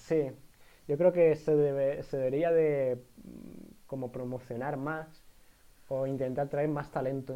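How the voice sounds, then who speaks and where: With an Andalusian accent, a man speaks fairly slowly in a dark, mellow tone at a fairly high pitch, his intonation monotone and flat, leaving long, frequent pauses. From Andalusia, Spain (Jerez de la Frontera). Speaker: podcast co-host, university student. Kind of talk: casual chat. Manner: halting, many fillers.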